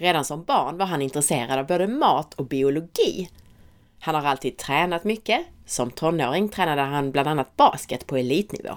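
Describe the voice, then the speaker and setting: Here a woman speaks with a very deep, low pitch. Her pitch variation is ordinary. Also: fairly quick pace, very clean recording, silent background. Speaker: podcast host. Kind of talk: scripted narration.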